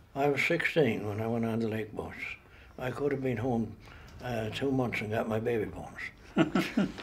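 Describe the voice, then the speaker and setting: In a Newfoundland accent, the speaker talks at a moderate pace with ordinary pitch variation, and audible room echo surrounds the voice. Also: man, medium pitch for a man. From Newfoundland, Port Rexton. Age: 80s+. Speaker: retired railway worker. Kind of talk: interview testimony.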